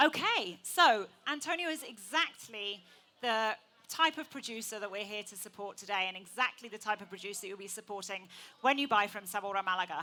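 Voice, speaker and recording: A woman with an English accent speaks at a fairly quick pace in a bright, sharp tone. Her intonation is lively and her loudness swings widely. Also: medium pitch for a woman. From England. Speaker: event host and food presenter. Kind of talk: live event presentation. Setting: stage with audience.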